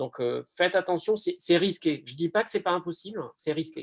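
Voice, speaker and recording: A man with a southern French accent, speaking at a moderate pace with ordinary pitch variation. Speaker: pharmacy lecturer. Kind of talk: online Q&A. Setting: video call. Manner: hesitant, many fillers.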